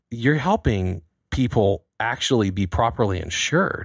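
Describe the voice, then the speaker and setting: On a very clean recording with a silent background, a man with an American accent talks in a fairly low pitch with lively intonation. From United States. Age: 40s. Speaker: podcast host. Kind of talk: interview. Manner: animated.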